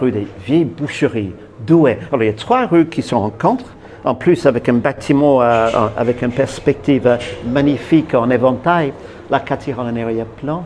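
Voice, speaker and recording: Over noticeable background noise, a man with a New Zealand accent talks at a moderate pace. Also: medium pitch for a man, ordinary pitch variation. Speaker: tour guide. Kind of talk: interview answer. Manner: lively, enthusiastic.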